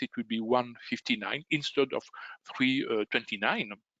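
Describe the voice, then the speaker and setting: With a strong Belgian French accent, a man speaks at a moderate pace and medium pitch in a dry, close sound with no echo. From Belgium. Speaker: trading educator. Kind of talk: webinar sales presentation. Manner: halting, many fillers.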